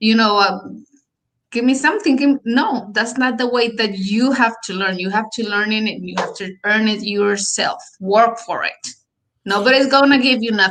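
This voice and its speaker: Speaking with a Colombian accent, a woman uses a fairly high pitch, ordinary pitch variation and a moderate pace. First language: Spanish. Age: 30s. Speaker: real estate agent. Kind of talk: interview. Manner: halting.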